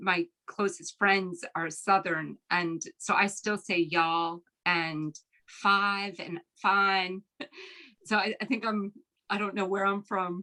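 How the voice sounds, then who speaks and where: At a very slow pace, a woman with an American accent speaks at medium pitch with fairly even intonation. Her tone is bright and sharp, and the sound is dry and close with no echo. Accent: American accent, heard as a twang in Ireland. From Philadelphia, US. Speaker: novelist. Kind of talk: author talk Q&A. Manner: halting, many fillers.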